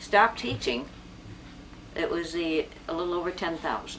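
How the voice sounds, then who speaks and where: Against noticeable background noise, a woman with a fairly low pitch speaks at a fairly slow pace. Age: 80s+. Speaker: retired teacher. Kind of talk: interview. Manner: halting.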